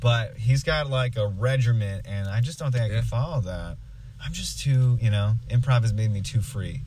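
A man speaks at medium pitch with ordinary pitch variation. Noticeable background noise runs behind him. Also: moderate pace. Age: 20s. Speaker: improv performer. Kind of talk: casual chat. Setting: recording in a truck.

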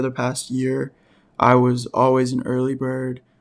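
On a very clean recording with a silent background, a man of medium pitch speaks at a fairly slow pace. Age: 20s. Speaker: podcast host. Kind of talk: casual solo talk. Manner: halting.

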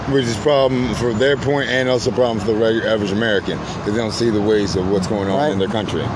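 Over noticeable background noise, a man at medium pitch talks very fast with hardly any pauses and fairly even intonation. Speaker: video host and Marine veteran. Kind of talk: angry rant. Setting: outdoors near highway, recorded video. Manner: loud, profane, mocking, sarcastic; fiery, emphatic.

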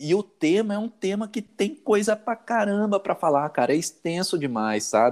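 Lively intonation from a man with a high pitch, in dry, close sound with no echo. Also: moderate pace, hardly any pauses, very clean recording, silent background. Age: 40s. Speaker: IT worker. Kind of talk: casual chat.

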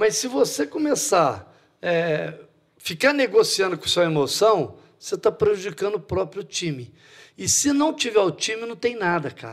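On a very clean recording with a silent background, a man talks at a fairly slow pace, his high pitch swinging very widely. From Brazil, Franca (São Paulo state). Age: 60s. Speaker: basketball coach. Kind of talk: casual interview.

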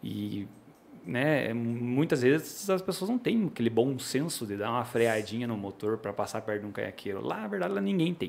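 The pace is moderate, and it is a normal speaking voice. Intonation comes across as lively. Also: man, medium pitch for a man. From Paraná, Brazil (Pinhão). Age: 30s. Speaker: sport fisherman and fishing guide. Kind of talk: podcast interview. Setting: studio.

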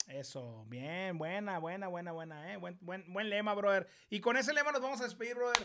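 A man with a northern Mexican accent projects a raised, high-pitched voice with a bright, sharp, animated tone, very wide pitch swings, a moderate pace and hardly any pauses. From Mexico, Ciudad Obregón, Sonora. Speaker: YouTuber, live stream host. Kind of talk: casual live-stream interview. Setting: live stream.

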